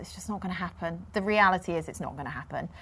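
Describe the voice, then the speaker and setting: A woman speaks with a Yorkshire accent. Her pitch variation is ordinary. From Yorkshire, near Leeds. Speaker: TV sports presenter. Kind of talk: interview.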